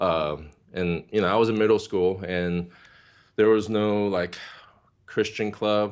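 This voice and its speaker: In a Korean accent, a man speaks at a fairly slow pace and fairly low pitch, with fairly even intonation and long, frequent pauses. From South Korea, moved to California at nine. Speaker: worship ministry leader. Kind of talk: interview testimony. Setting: video call.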